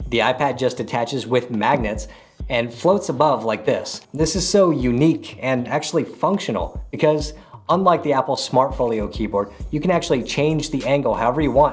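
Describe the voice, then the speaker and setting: A man talks with ordinary pitch variation. His voice has vocal fry. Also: moderate pace. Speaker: tech reviewer. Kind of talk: product review talk to camera. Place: home room.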